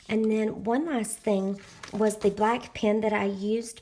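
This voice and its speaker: A woman with a Southern US accent speaks at a fairly slow pace in a fairly high voice, recorded very cleanly against a silent background. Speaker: planner and crafting YouTuber. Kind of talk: tutorial. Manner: casual with frequent filler words.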